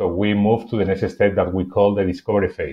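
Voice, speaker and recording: This is a man speaking. His pitch is fairly low. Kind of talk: conference presentation. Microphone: webcam.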